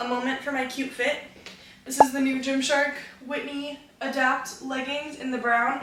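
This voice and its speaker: A woman speaks at a moderate pace in a high, flat monotone, with big swings in loudness. Room echo is audible, and background noise is noticeable. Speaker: fitness vlogger. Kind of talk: casual vlog talk. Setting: gym.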